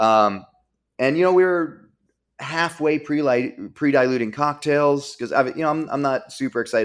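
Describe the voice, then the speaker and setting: On a very clean recording with a silent background, a man with an American accent talks at a fairly quick pace with lively intonation. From Virginia. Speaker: bar owner and beverage director. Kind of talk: casual interview chat. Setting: studio.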